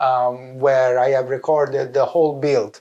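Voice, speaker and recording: The speaker has an Italian accent, a moderate pace and fairly even intonation. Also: man. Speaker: vlogger, visual effects lighting artist. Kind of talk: casual vlog. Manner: halting, many fillers.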